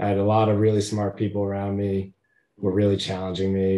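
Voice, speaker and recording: A man with an American accent talks at a fairly quick pace in a fairly low pitch. His tone is dark and mellow, his intonation monotone and flat, over a quiet background. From Connecticut (Hamden, near New Haven). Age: 30s. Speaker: attorney, former congressional investigative counsel. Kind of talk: interview, casual conversation.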